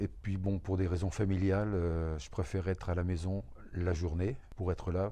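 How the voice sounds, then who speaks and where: This man has a very deep, low pitch and a dark, mellow tone. He keeps his intonation fairly even and his pace moderate. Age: 70s. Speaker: retired truck driver, temp worker. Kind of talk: interview testimony.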